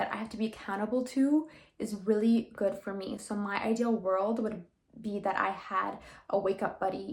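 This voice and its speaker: Fairly quick and somewhat breathy, a woman speaks with fairly even intonation. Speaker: lifestyle vlogger. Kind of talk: vlog. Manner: casual, conversational.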